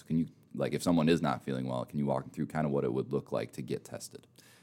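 Very deep and low in pitch, a man talks at a very fast pace with vocal fry in a Minnesotan accent. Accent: Minnesotan, noticeable. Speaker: podcast host. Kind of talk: casual interview.

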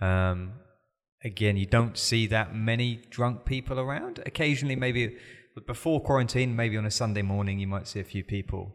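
This man speaks in a British accent at a fairly quick pace. His voice is fairly low, with ordinary pitch variation. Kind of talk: casual chat. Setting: studio.

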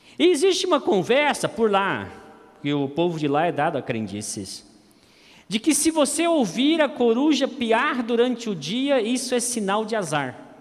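This man's extremely high pitch moves in very wide swings as he speaks at a fairly slow pace. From Campo Grande, Brazil. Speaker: pastor. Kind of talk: sermon.

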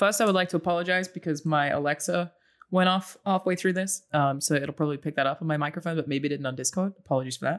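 In a very clean recording with a silent background, someone with an Australian accent talks at a very fast pace. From Australia, Brisbane. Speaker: content creator. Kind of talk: casual chat.

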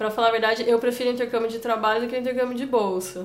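A woman's voice sits at a fairly high pitch and stays monotone and flat. Noticeable background noise and audible room echo surround it. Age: 20s. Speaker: forestry engineer and volunteer traveler. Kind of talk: interview. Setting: office.

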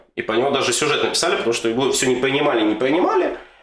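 A man is speaking. There is audible room echo. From Western Ukraine. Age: 20s. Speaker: soldier. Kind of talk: casual chat.

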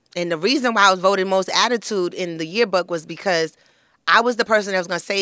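A woman with a New York accent, medium pitch, and a bright, sharp tone, very fast, on a very clean recording with a silent background. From Flatbush, Brooklyn, New York. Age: 30s. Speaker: beauty expert and lifestyle guru. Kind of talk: casual chat.

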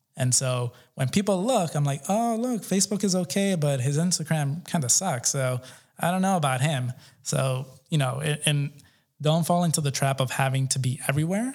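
An American accent marks this man's fairly high, somewhat breathy voice. He keeps a moderate pace with very even loudness. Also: lively intonation. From New York City, Colombian American family. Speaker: entrepreneur and community event organizer. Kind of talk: interview. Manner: casual, filler-heavy.

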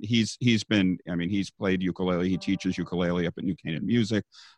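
A man speaks in an ordinary speaking voice, fairly low in pitch with ordinary pitch variation, recorded dry and close with no echo against a quiet background. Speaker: ukulele teacher and YMCA worker. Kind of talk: casual interview chat.

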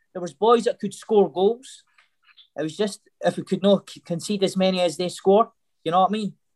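A high-pitched man with a Scottish accent, moderate pace, fairly even intonation, dry, close sound with no echo. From Scotland. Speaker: former footballer. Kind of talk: casual chat. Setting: video call.

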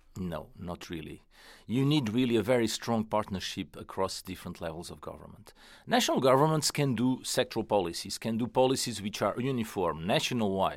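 On a very clean recording with a silent background, a man with a Portuguese accent speaks at a medium pitch and a fairly quick pace, his intonation lively and his loudness swinging widely. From Portugal. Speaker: economist at an international organisation. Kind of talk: interview. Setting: studio. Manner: halting, many fillers.

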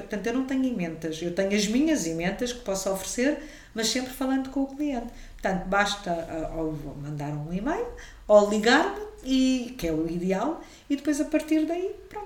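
A woman speaks fairly high at a moderate pace, her pitch swinging very widely. Audible room echo and noticeable background noise surround her. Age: 50s. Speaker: caterer and cook. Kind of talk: casual interview.

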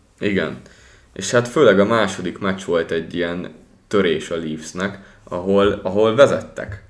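A man with a plain, everyday voice, fairly low in pitch, ordinary pitch variation, fairly slow pace. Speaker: hockey podcast host. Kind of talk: casual chat.

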